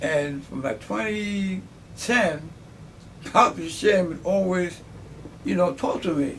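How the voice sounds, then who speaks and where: Lively intonation marks this voice with an American accent, heard over noticeable background noise. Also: man, high pitch for a man. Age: 70s. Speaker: army veteran. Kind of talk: interview. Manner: halting.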